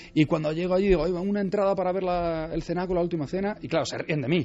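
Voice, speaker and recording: A man talks at a very fast pace. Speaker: Leonardo da Vinci expert guest. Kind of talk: radio interview.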